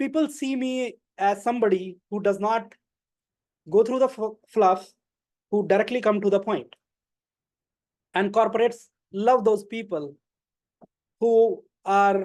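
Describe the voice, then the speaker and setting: The speaker has an Indian accent and moves at a fairly slow pace. Long, frequent pauses break up the speech. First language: not English. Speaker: club member giving a speech. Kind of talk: prepared speech.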